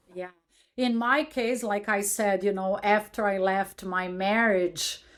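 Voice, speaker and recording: Speaking very slowly with a non-native accent, a woman keeps to a medium pitch. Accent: foreign. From abroad, immigrant. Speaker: podcast host. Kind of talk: interview. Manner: animated.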